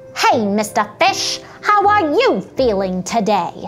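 Clear music plays in the background under a put-on character voice. It is fairly high in pitch and very slow.

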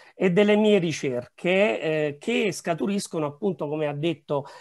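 There's a quiet background behind this man. He keeps a moderate pace, and his pitch varies in an ordinary way. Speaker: historian. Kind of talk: conference presentation. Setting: video call. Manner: halting. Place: home room. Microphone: webcam.

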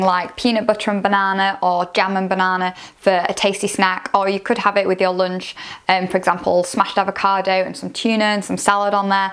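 Fairly quick speech over a quiet background. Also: woman. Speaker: food vlogger. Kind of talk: casual product review. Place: home room. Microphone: lapel.

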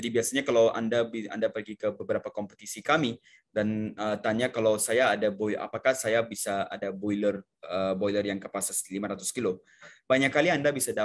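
Over a quiet background, a man talks at a fairly low pitch. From India. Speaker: sales manager presenting a seminar. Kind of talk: online technical sales presentation. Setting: online video seminar. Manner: halting, many fillers. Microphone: video call.

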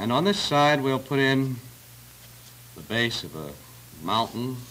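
A man talks at a fairly slow pace against light background noise. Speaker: television drawing instructor. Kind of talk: tutorial. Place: studio.

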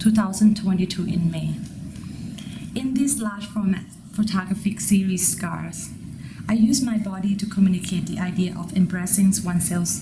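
Amid noticeable background noise, a woman with a Thai accent keeps her intonation fairly even. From Thailand. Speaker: MFA photography student. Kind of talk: prepared artist statement.

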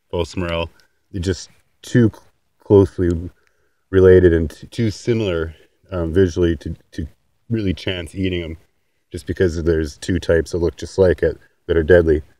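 In a dry room with no echo and a quiet background, a man with a very deep, low pitch and a dark, mellow tone speaks at a moderate pace with fairly even intonation and long, frequent pauses. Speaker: homesteader. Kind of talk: casual outdoor instructional talk to camera. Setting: outdoors. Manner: halting, some stammering. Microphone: phone near.

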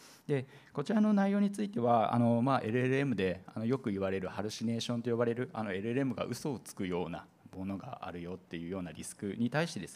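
Very fast talk from a man, medium in pitch. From Kagoshima, Japan; Japan. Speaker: seminar moderator and presenter at an IT company; seminar moderator, presenter. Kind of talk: conference seminar presentation. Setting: seminar hall with audience at an expo. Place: hall. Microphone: handheld.

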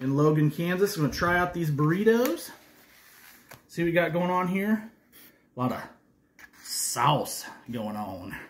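A somewhat breathy man's voice with very wide pitch swings. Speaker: food reviewer. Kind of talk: casual vlog chat. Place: home room. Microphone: phone near.

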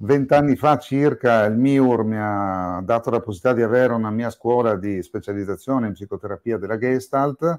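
A man with an unremarkable speaking voice, medium pitch, ordinary pitch variation and a moderate pace, in a very clean recording with a silent background and a dry, close sound with no echo. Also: hardly any pauses. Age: 60s. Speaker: psychiatrist and psychotherapist. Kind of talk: interview podcast.

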